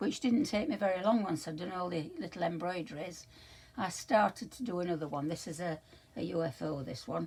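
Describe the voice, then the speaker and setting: Woman with an English accent, fairly low pitch, lively intonation and a fairly quick pace. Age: 80s+. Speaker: crafter vlogger. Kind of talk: casual show-and-tell vlog. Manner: halting, many fillers.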